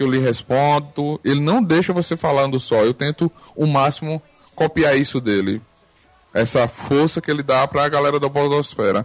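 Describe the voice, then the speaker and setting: A man with an unremarkable speaking voice talks at a moderate pace and a fairly high pitch, with ordinary pitch variation and very even loudness. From Arapiraca, Alagoas, Brazil. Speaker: podcaster. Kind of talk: casual chat. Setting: online group call.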